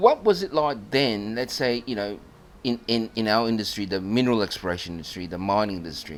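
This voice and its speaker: Using an ordinary speaking voice, a man speaks at a fairly low pitch and a fairly quick pace with lively intonation. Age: 60s. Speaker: podcast host and geologist. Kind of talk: interview. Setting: club venue.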